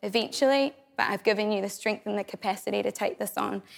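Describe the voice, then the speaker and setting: A woman with a New Zealand accent talks at a fairly quick pace. Her medium-pitched voice has vocal fry. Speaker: churchgoer sharing testimony. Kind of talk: testimony.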